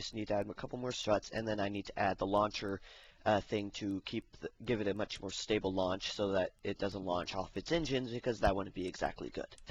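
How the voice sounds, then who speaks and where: A man puts on a raspy character voice at a fairly low pitch. He talks fairly quickly with fairly even intonation. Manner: speaking very fast to keep up with the video.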